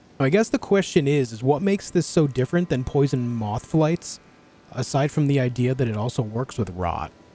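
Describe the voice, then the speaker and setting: Over music in the background, a medium-pitched man with an American accent talks at a moderate pace with lively intonation. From US, New York. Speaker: gaming streamer. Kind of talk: live gameplay stream chat. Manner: articulate; halting.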